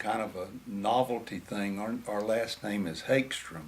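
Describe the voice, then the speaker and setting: A man talks at a very slow pace with an American accent. His pitch is fairly low. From Florida. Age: 70s. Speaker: grandfather interviewed by grandchild. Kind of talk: family history interview.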